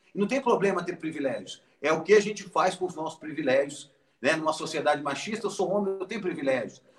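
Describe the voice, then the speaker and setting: The delivery is fairly quick. Pitch varies in an ordinary way. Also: man, high pitch for a man. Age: 40s. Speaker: founder of a Down syndrome charity. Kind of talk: interview.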